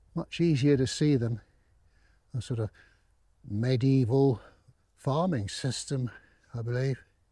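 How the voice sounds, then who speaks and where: This man has a medium pitch, a dark, mellow tone and a somewhat breathy, relaxed delivery. He speaks at a fairly slow pace with ordinary pitch variation and long, frequent pauses. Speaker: countryside walk vlogger. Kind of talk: casual walking commentary to camera. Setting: outdoors. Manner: relaxed, conversational.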